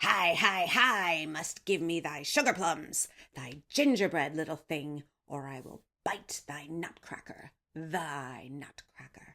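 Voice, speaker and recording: A put-on character voice growls at a fairly slow pace and a middle pitch. The recording is very clean, with a silent background. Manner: threatening, gloating.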